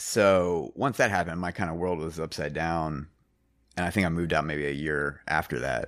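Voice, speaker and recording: A man with vocal fry and a very deep, low pitch speaks at a moderate pace with ordinary pitch variation on a very clean recording with a silent background. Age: 40s. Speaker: musician and mastering engineer. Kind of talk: casual chat. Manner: halting.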